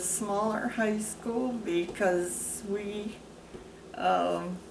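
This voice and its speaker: Amid noticeable background noise and audible room echo, a woman with an American accent talks at a very slow pace. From US Midwest, Wisconsin. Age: 80s+. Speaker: interviewee, military wife. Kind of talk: oral history interview. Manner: halting.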